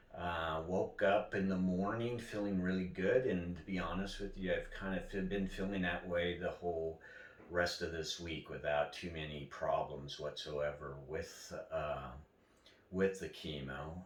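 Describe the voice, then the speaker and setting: A man with a very deep, low voice speaks at a fairly slow pace with ordinary pitch variation. There is audible room echo and noticeable background noise. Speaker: cancer patient vlogger. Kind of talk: personal video diary. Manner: halting with many fillers.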